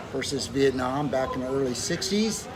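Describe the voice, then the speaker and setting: Delivered at a moderate pace in an American accent, the speech carries audible room echo and noticeable background noise. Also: man. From Southern California. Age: 70s. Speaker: retired dentist. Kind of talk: interview. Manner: halting.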